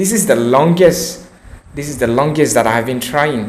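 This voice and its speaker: A man at a moderate pace, with audible room echo. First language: not English. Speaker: English learner vlogger. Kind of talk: unscripted monologue practicing English. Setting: recording alone to camera. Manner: halting.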